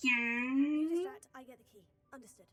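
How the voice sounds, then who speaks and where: A female-sounding, put-on character voice speaks at a high pitch and a moderate pace. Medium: video game.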